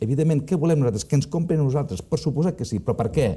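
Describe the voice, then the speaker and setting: A man's dark, mellow, somewhat breathy voice against a quiet background. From Catalonia, Costa Brava (Palamós); Catalonia, Spain. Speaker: business consultant; interview guest. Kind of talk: interview. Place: studio. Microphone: lapel.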